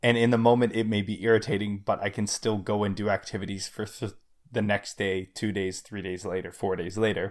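The delivery is fairly quick, with monotone, flat intonation. It is a very clean recording with a silent background. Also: man, fairly low pitch for a man. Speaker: podcast co-host. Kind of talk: casual chat.

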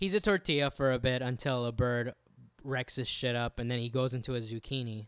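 Recorded dry and close with no echo, a man with an American accent talks in a medium pitch with ordinary pitch variation. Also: fairly quick pace, very clean recording, silent background. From US, Cuban and Peruvian descent. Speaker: podcast co-host. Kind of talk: casual chat. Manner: animated.

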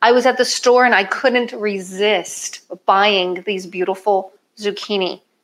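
A woman with a plain, everyday voice speaks at a fairly slow pace, her medium pitch held in fairly even intonation. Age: 50s. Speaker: chef and weight loss coach. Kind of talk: cooking demonstration.

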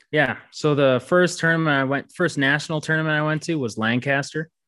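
A man with an American accent and an ordinary speaking voice, moderate pace, fairly even intonation, against a quiet background. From Minnesota, US Midwest. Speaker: competitive archer. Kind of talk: casual interview.

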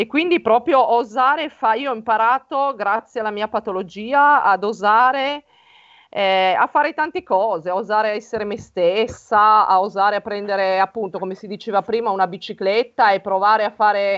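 With an ordinary speaking voice, a woman talks at a fairly high pitch and moderate pace, her pitch varying in an ordinary way. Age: 40s. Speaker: writer and naturopath. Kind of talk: personal testimony.

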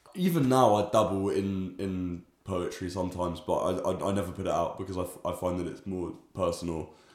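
In a London accent, a man with a very deep, low pitch talks at a fairly quick pace with fairly even intonation, hardly any pauses and audible room echo. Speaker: musician and student. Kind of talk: casual interview.

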